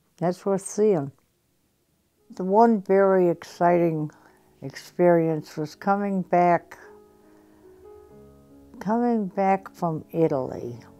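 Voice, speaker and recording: Speech at a very slow pace, with long, frequent pauses and ordinary pitch variation. Music plays in the background. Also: woman, fairly low pitch for a woman. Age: 80s+. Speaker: war veteran. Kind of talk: interview answer.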